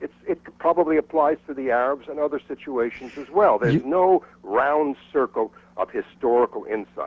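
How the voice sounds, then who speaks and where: This is an ordinary speaking voice from a man at a moderate pace. His pitch is fairly high, with ordinary variation. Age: 60s. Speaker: caller. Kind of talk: call-in comment. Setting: phone call.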